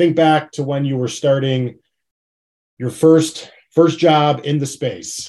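With an American accent, a man speaks in a dark, mellow tone and fairly even intonation. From Chicago. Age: 30s. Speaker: podcast host. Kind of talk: interview.

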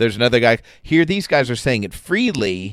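Moderately paced speech from a man, on a very clean recording with a silent background. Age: 50s. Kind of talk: casual Bible discussion. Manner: some stammering repetitions.

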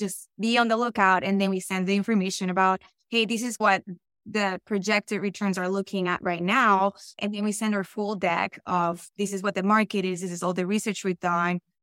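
A woman with a Colombian accent speaks at a fairly quick pace and medium pitch, with fairly even intonation. The recording is very clean with a silent background and a dry, close sound with no echo. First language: Spanish. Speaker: real estate investor. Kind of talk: podcast interview.

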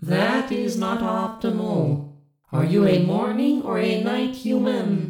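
Someone puts on a fairly high character voice, speaking at a fairly slow pace with a slight echo. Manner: flat, literal, formal phrasing.

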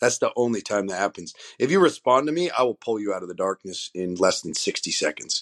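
Speaking at a very fast pace, a man with medium pitch uses very wide pitch swings and an animated tone. The sound is dry and close with no echo, over a quiet background. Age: 40s. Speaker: fitness coach and firefighter. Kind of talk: casual interview.

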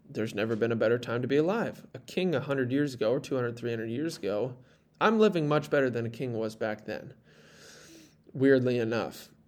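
This is a normal speaking voice, moving at a fairly quick pace with ordinary pitch variation. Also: man. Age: 20s. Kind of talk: solo podcast monologue. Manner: casual, conversational.

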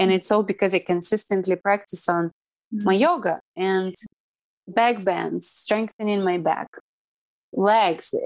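In a Russian accent, a woman talks at a moderate pace and medium pitch with fairly even intonation. The sound is dry and close with no echo, on a very clean recording with a silent background. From Siberia, Russia (Irkutsk). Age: 30s. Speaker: yoga teacher. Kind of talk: casual interview.

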